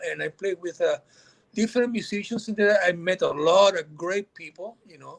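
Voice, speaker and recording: Here is a man's voice. It sits at a high pitch. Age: 60s. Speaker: guitarist and composer. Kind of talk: interview.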